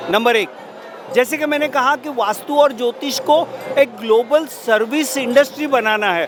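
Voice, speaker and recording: A man's extremely high-pitched voice with a Marathi accent, crowd noise behind him. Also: ordinary pitch variation. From Maharashtra, India. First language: Marathi (speaking Hindi). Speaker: vastu consultant and astrology business promoter. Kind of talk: interview. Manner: formal.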